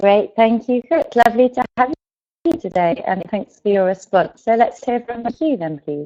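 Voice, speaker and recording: With an English accent, a woman speaks in a fairly high voice that swings very widely in pitch. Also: moderate pace. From England. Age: 20s. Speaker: English teacher. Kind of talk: online class. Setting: online video class, webcam off. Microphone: weak internet connection.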